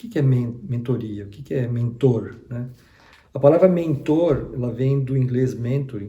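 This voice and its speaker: A man talks at a fairly slow pace in a dark, mellow, somewhat breathy tone, his loudness swinging widely. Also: medium pitch for a man, ordinary pitch variation. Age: 60s. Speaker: retired HR executive, career mentor. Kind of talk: online lesson. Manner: halting, with fillers and repetitions.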